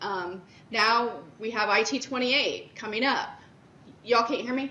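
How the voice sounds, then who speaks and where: A woman talks at a moderate pace with ordinary pitch variation. Background noise is noticeable, and the room echoes audibly. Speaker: director of internal audit presenting at a conference. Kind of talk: conference presentation. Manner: loud.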